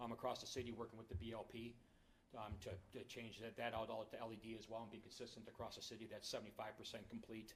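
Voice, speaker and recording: Very fast, somewhat breathy male speech at medium pitch with monotone, flat intonation. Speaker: energy services contractor presenting to city commission. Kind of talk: presentation at public meeting. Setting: city commission meeting with audience.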